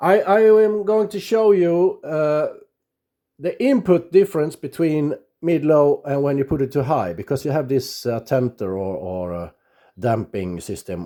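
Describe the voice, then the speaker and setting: Speaking with a Swedish accent at a fairly slow pace, a man with a fairly high pitch makes very wide pitch swings on a very clean recording with a silent background. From Sweden. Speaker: radio amateur. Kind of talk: tutorial. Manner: halting, many fillers.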